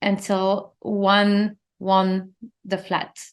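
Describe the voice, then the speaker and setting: A woman talks with a non-native accent against a quiet background. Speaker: interior designer and podcast host. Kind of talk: solo podcast monologue. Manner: animated.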